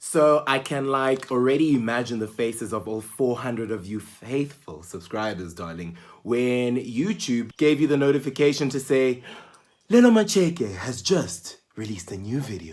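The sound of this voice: Fairly slow pace and lively intonation, with a slightly mellow tone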